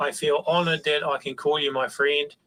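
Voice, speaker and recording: A man speaks with a New Zealand accent. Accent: Kiwi. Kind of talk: reading aloud an email.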